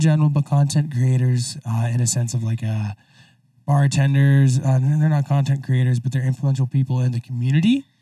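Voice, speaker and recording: With an American accent, a man speaks at a moderate pace in a dark, mellow tone that is somewhat breathy, keeping his intonation fairly even. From Idaho. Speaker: podcast host. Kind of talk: casual chat. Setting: studio.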